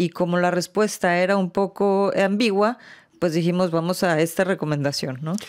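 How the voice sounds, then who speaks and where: Against a quiet background, a woman with a fairly low pitch speaks at a moderate pace, her intonation fairly even and her loudness very even. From Mexico. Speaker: international organization official. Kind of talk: interview. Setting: studio. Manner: halting, many fillers. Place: studio. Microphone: studio mic.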